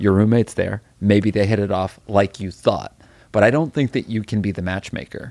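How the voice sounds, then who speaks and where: An unremarkable speaking voice from a man, fairly low in pitch with fairly even intonation, at a moderate pace in a very clean recording with a silent background. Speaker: podcast host. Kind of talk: casual comedic chat.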